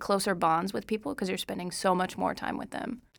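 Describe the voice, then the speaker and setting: A woman with an American accent speaks at a fairly quick pace and medium pitch, with vocal fry. The recording is very clean, with a silent background. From Oklahoma. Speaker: college student, flute player. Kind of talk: casual interview.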